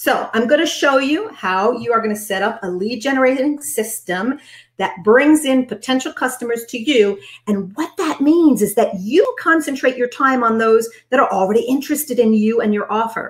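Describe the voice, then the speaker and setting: A woman's high voice with lively intonation at a moderate pace. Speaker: business coach for direct sales consultants. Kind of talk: webinar training. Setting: live stream. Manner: animated.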